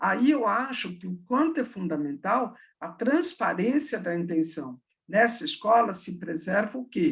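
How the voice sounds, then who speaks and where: A woman's medium-pitched, somewhat breathy voice at a fairly slow pace, with very wide pitch swings and big swings in loudness. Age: 60s. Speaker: education professor. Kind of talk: online talk with Q&A.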